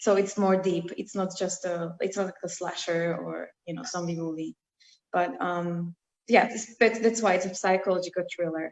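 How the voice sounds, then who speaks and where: The speaker, with a non-native accent, keeps a moderate pace and fairly even intonation while the loudness swings widely. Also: woman, medium pitch for a woman. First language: not English. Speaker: screenwriter. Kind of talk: casual interview chat. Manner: halting, many fillers.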